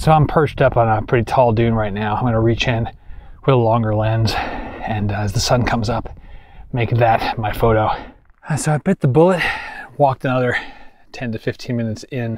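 A man at a fairly quick pace, with ordinary pitch variation and a dry sound with no echo. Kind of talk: casual vlog chat. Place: open country. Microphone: phone near.

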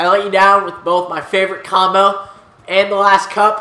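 Over music in the background and audible room echo, a man with a high pitch speaks in a raised, projected voice with an animated tone at a moderate pace. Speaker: gaming video creator. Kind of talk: let's play commentary.

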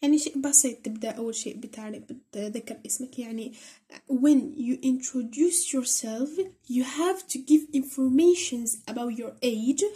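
In an Algerian accent, a woman with a dark, mellow tone speaks at a moderate pace, her high pitch showing ordinary variation. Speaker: English teacher on a school tutorial channel. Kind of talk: tutorial.

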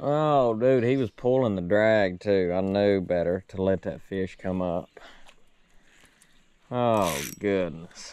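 Over light background noise, a man talks at a very slow pace in a fairly low, dark, mellow voice with ordinary pitch variation and a dry sound with no echo. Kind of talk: excited fishing commentary. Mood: frustrated after losing fish. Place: boat. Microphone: phone near.

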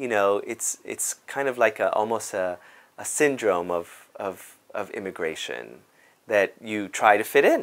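A man's fairly low voice with ordinary pitch variation. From Cuba, raised in South Bronx, New York; Cuba. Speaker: dance company artistic director. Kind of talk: interview monologue. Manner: halting, many fillers. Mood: warm, animated, smiling. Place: office. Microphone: lapel.

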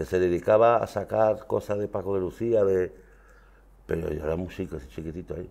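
A man with a very deep, low pitch, a dark, mellow tone, ordinary pitch variation and a moderate pace. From France (Marseille), Andalusian emigrant family; France. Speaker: flamenco guitarist; guest. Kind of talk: interview. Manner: halting. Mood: relaxed, reminiscing. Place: studio.

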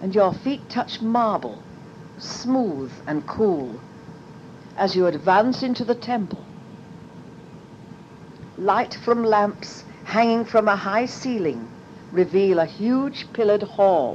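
The speech is very slow, with lively intonation and long, frequent pauses over noticeable background noise. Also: woman, medium pitch for a woman. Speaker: meditation guide. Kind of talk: guided meditation pathworking.

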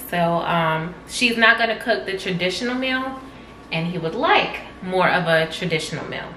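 A woman at a fairly slow pace, ordinary pitch variation, light background noise and audible room echo. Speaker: vlog co-host. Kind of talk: casual vlog chat. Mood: playful, joking banter. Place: kitchen. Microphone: camera far.

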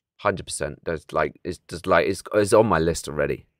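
A man speaks in a British accent with a very deep, low pitch. The recording is very clean with a silent background, and the sound is dry and close with no echo. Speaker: gaming streamer. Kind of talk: live stream commentary. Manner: animated.

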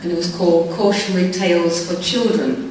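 Amid light background noise and strong room echo, a woman speaks at medium pitch and a fairly slow pace. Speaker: amateur poetry reciter. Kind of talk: spoken introduction to an audience. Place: stage.

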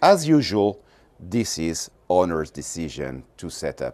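This is a man speaking. He goes at a fairly slow pace. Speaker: yacht company representative. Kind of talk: guided boat tour, sales pitch. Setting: aboard a boat. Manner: measured, explanatory, slightly halting with fillers. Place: boat.

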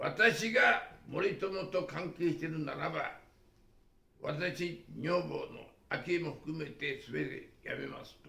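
In a room with audible echo, a man speaks very slowly, his loudness swinging widely. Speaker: retired business executive and commentator. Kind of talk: political and economic commentary talk. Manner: rambling run-on speech. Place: home room. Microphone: camera far.

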